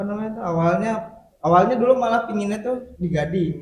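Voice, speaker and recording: Speaking at a fairly quick pace, a man shows ordinary pitch variation. He has a Sundanese accent. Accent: Sundanese accent still present. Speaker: podcast guest. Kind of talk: casual interview.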